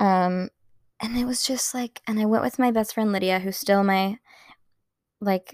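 Dry and close with no echo, a woman's medium-pitched voice shows ordinary pitch variation. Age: 20s. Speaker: podcaster. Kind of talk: casual solo podcast chat. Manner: fast talker; sarcastic, laughs often.

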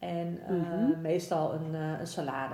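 In a very slow, monotone delivery, a woman speaks with a very deep, low pitch, with audible room echo and noticeable background noise. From Netherlands, Amersfoort. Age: 30s. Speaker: municipal policy adviser. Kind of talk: interview. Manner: halting.

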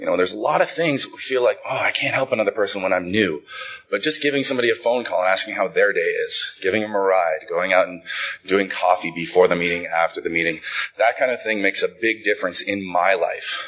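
Through noticeable background noise, a man with an American accent talks at a very fast pace. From Idaho, Boise. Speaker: speaker at recovery conference. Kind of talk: recovery testimony talk.

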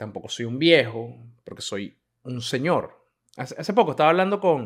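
This man has an unremarkable speaking voice, fairly high in pitch, with lively intonation. The recording is very clean with a silent background. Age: 30s. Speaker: podcaster. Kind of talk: casual monologue.

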